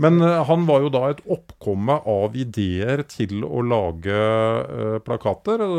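A man talks at a very slow pace with hardly any pauses, a medium pitch and very wide pitch swings. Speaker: podcast co-host. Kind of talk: casual chat.

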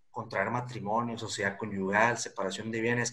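Monotone, flat intonation from a man of medium pitch at a moderate pace. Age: 20s. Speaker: lawyer. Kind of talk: interview.

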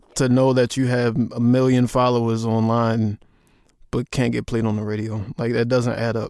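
A man's medium-pitched voice in a flat monotone. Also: moderate pace. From US, Baltimore. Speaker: music journalist. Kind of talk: interview.

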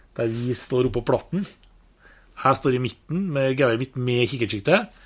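This man speaks at a moderate pace and medium pitch, with ordinary pitch variation. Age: 50s. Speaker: hunter. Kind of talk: casual interview.

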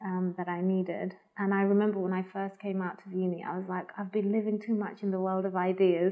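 Barely pausing, a woman speaks very fast with monotone, flat intonation. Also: medium pitch for a woman. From Spain, Madrid. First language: Spanish. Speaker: arts organisation programme head. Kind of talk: interview. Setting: at home. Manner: hesitant, many fillers.

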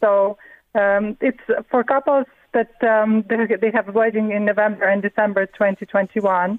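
Speaking at a fairly slow pace, a woman uses a fairly high pitch and a monotone, flat intonation. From Latvia, Riga. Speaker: artist. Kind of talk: radio interview. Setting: phone call. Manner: halting.

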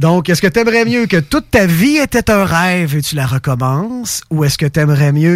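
The delivery is animated, with very wide pitch swings at a moderate pace. The recording is very clean, with a silent background. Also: man. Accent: Quebec. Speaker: radio host. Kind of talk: casual chat. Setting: studio.

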